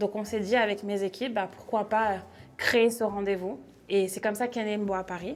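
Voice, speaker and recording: At a moderate pace, a woman with a medium pitch speaks with fairly even intonation. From France. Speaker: startup director and event organizer. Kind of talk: interview. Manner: hesitant with frequent fillers.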